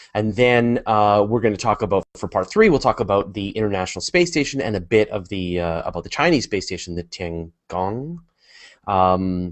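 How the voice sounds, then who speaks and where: A man with a Canadian accent and an unremarkable speaking voice talks at a moderate pace, his fairly low pitch carried by lively intonation. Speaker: podcast co-host. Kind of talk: casual chat.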